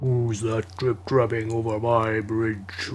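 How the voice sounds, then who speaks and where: Over clear background noise, a man bellows in a put-on character voice at a medium pitch and fairly slow pace. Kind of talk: folk tale storytelling. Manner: roaring, menacing.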